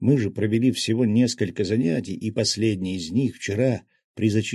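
Plain reading aloud with ordinary pitch variation comes across a quiet background.

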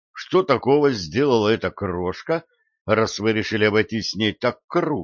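An unforced reading voice over a quiet background

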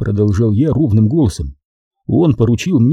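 Lively intonation in a natural reading voice, set against a quiet background

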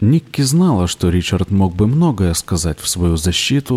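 A passage is read aloud in a natural voice.

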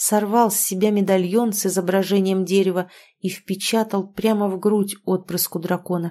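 The intonation is fairly even. The reading aloud is in a natural voice.

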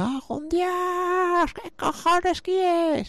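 An extremely high-pitched, put-on character voice. It moves at a very slow pace. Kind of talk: coarse, vulgar. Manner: irritated, yelling.

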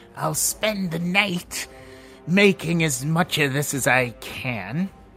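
A man's loud, shrill, put-on character voice at a fairly high pitch with very wide pitch swings, over clear music in the background. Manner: loud, cryptic.

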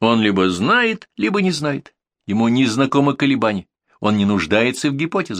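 Over a quiet background, this is plain reading aloud.

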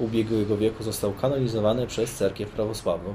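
A man in a normal speaking voice, medium in pitch, at a fairly quick pace. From Poland, Sosnowiec (Zagłębie Dąbrowskie). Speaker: Orthodox priest. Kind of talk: interview. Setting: outdoors on a veranda.

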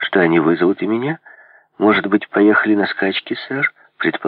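Over a quiet background comes plain reading aloud with lively intonation.

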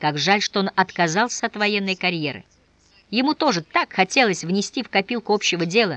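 Ordinary pitch variation in plain reading aloud

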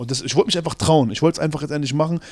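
A man talks with fairly even intonation, captured in a very clean recording with a silent background. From Berlin, Schöneberg. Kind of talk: interview.

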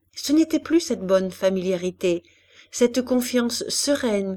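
The clip is plain reading aloud with lively intonation.

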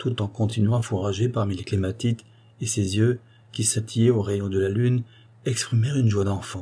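Text is read aloud here in a natural voice.

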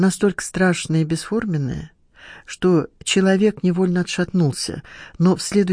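Someone reads in a natural reading voice, the intonation fairly even.

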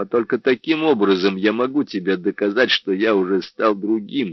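The intonation stays lively. It is plain reading aloud.

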